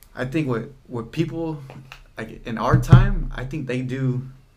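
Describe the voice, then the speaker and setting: Amid audible room echo, a man at a medium pitch speaks very slowly with long, frequent pauses, fairly even intonation and big swings in loudness. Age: young. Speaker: hardware store worker. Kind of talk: casual chat. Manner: halting.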